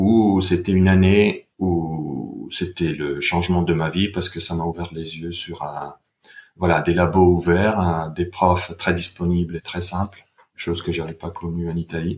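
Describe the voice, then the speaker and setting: A man speaks at a fairly slow pace in a very deep, low pitch with monotone, flat intonation. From Italy, Bergamo. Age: 40s. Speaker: sports science researcher. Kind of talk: podcast interview. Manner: hesitant, with fillers.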